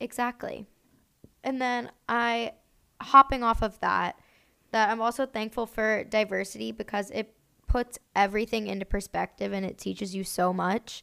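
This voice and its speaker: A woman's fairly high, bright, sharp voice at a moderate pace with fairly even intonation, on a very clean recording with a silent background. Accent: American. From US Northeast, Pennsylvania (Boyertown). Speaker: podcast co-host. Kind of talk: casual chat.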